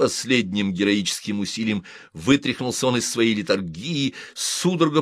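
Lively intonation across plain reading aloud.

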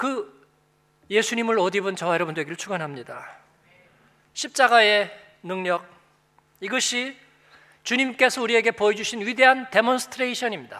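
With long, frequent pauses, a man speaks in a raised, projected voice, bright and sharp in tone and high in pitch. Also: ordinary pitch variation, moderate pace. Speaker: pastor. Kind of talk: sermon. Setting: church.

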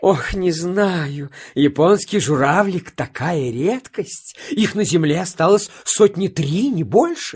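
Using a put-on character voice, a woman speaks slowly at a fairly low pitch, with a slightly mellow tone, a slightly husky edge and lively intonation.

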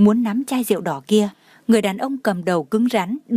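Plain reading aloud carries ordinary pitch variation.

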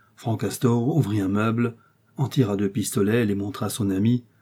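The intonation stays fairly even as a passage is read aloud in a natural voice.

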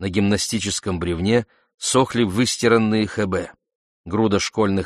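All is quiet in the background. Over it comes someone reading aloud in a natural voice.

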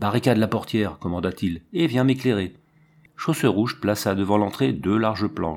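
With ordinary pitch variation, this passage is reading aloud in a natural voice.

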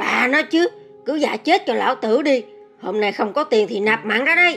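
Over clear music in the background, a woman does a put-on character voice, high-pitched, hoarse and raspy, with very wide pitch swings at a fairly quick pace. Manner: angry, shouting.

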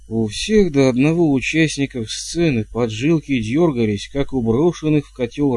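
The clip features a natural reading voice.

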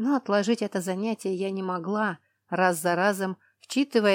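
The reading voice is unforced, its intonation fairly even. Nothing stirs in the background.

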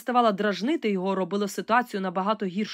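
The passage is read aloud in a natural voice.

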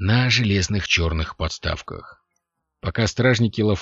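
Over a quiet background, a natural reading voice

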